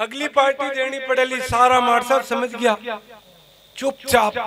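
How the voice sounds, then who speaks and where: A man speaks in a raised, projected voice. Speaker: comic poet. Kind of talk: stage comic storytelling at a poetry gathering.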